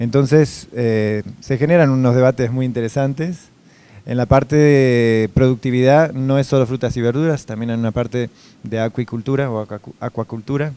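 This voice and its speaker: A man with a Uruguayan accent talks at a moderate pace and medium pitch, with fairly even intonation and a dark, mellow tone. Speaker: food safety executive. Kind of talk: interview. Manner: hesitant, many fillers.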